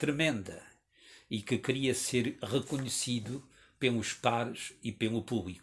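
A man sounds somewhat breathy as he talks at a very slow pace. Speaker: writer. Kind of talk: reading aloud.

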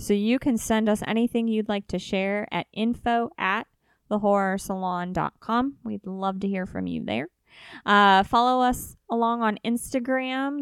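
A woman with a Midwestern accent talks at a fairly slow pace, medium in pitch, with ordinary pitch variation. The recording is very clean, with a silent background and a dry, close sound with no echo. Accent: US Midwest (Ohio). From northeastern Ohio, Youngstown area. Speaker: podcast co-host. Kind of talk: casual chat.

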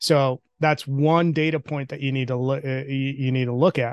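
Fairly quick speech in a monotone, flat intonation, with a dry, close sound with no echo and a quiet background. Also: man. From outside the US, immigrated as a child. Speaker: talent industry executive. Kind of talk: interview.

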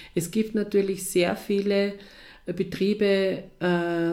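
A woman's voice with a dark, mellow tone. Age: 50s. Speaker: head of a girls' counselling organisation. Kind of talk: interview. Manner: hesitant, with many fillers.

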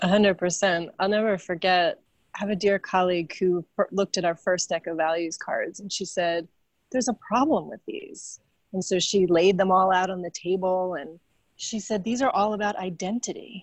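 In an American accent, a woman talks in an ordinary speaking voice. Her pitch is medium, with ordinary pitch variation. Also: moderate pace. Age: 40s. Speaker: philanthropy consultant and author. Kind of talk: interview.

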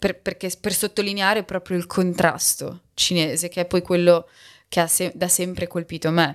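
The recording is very clean, with a silent background. A woman speaks at a fairly low pitch with monotone, flat intonation. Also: moderate pace. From Bologna, Italy. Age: 30s. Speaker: sinologist and podcaster. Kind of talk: casual interview. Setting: in person. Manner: halting, with many fillers.

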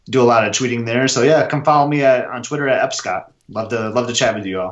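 With an American accent, a man has a plain, everyday voice, a medium pitch and fairly even intonation. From Michigan. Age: 30s. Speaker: Disney fan and runner. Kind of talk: casual chat.

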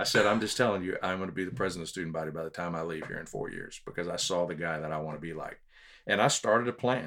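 With a Texan accent, a man speaks at a very fast pace in a very deep, low pitch and a bright, sharp tone. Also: ordinary pitch variation. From Texas (Houston, San Antonio). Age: 50s. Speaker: public speaker and leadership trainer. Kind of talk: casual interview chat.

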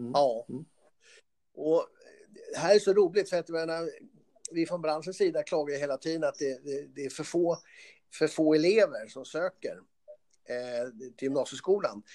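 At a moderate pace with long, frequent pauses, the speaker has a dark, mellow tone and ordinary pitch variation. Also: man, fairly high pitch for a man. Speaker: trade association CEO, former car mechanic. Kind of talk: interview. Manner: halting, with repetitions.

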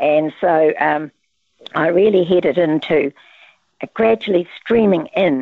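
With a New Zealand accent, a woman speaks with ordinary pitch variation. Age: 80s. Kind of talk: casual interview chat. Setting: phone or video call.

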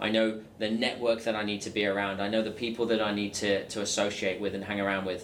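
Amid noticeable background noise, a man speaks at a very fast pace with hardly any pauses, fairly low in pitch and monotone with flat intonation. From England. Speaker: sales coach. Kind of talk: interview.

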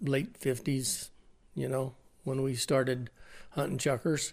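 A man speaks at a fairly slow pace with an American accent. His voice sits at a medium pitch with a dark, mellow tone. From eastern Oregon. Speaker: retired hunter and father of host. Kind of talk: storytelling. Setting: at a sportsman show venue.

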